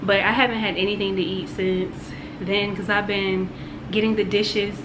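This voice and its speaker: Over noticeable background noise and audible room echo, a woman talks at a moderate pace in a monotone, flat intonation. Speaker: vlogger. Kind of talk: casual vlog talk. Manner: soft-spoken.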